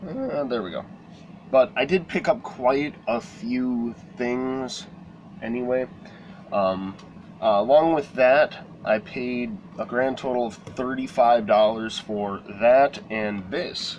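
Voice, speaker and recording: Over noticeable background noise, the speaker goes very slowly with lively intonation. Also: man, medium pitch for a man. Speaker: collectibles vlogger. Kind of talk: casual vlog show-and-tell. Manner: hesitant, many fillers.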